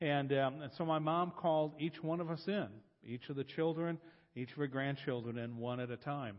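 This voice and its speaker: A man in an American accent, fairly high in pitch with ordinary pitch variation, at a moderate pace. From US Midwest, Columbus, Ohio. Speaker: guest preacher, discipleship coach. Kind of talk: sermon.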